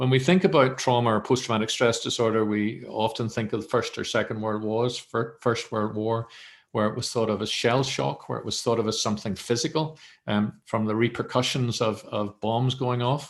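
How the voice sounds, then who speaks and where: In a quiet background, a man speaks at a moderate pace with a medium pitch and ordinary pitch variation. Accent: Northern Irish. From Northern Ireland. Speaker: mental health professional, academic centre director. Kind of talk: webinar presentation.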